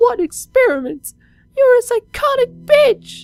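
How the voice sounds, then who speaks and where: In a put-on character voice, a man sounds angry, speaking at a fairly slow pace with an extremely high pitch. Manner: crying, pleading, then angry.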